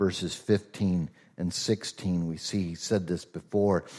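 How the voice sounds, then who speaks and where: Very deep and low in pitch with a dark, mellow tone, a man speaks at a fairly slow pace with fairly even intonation and a slight Southern US accent on a very clean recording with a silent background. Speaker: pastor. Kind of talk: sermon. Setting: church.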